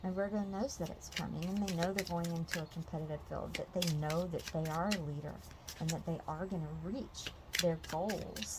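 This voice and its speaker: A woman speaks quietly at a fairly low pitch, with vocal fry. Her intonation is fairly even. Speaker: tarot reader. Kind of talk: tarot reading. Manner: quiet, peaceful.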